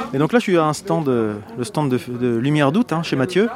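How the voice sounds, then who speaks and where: Amid noticeable background noise, a man with a fairly high voice swings very widely in pitch. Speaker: podcast host. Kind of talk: roving interviews at a festival. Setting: outdoors at a harbour festival. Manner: hesitant, many fillers.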